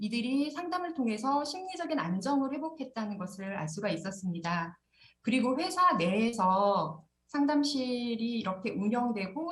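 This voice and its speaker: A woman speaks in a fairly high, somewhat breathy voice with very wide pitch swings. Room echo is audible. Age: 40s. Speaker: corporate counselor. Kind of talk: conference presentation.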